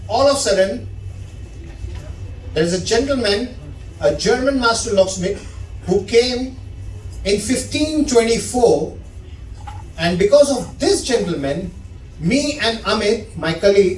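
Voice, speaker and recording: A man with an Indian accent, high pitch and lively intonation, fairly slow pace with long, frequent pauses, plus audible room echo and noticeable background noise. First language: Indian language (not English). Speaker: watch sales associate giving a talk. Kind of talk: informal presentation to an audience. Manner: animated.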